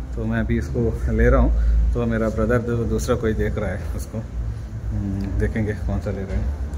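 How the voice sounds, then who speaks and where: Noticeable background noise sits behind a man's very deep, low voice. He speaks at a fairly slow pace with ordinary pitch variation. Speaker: vlogger. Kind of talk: casual vlog chat. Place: shop. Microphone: phone near.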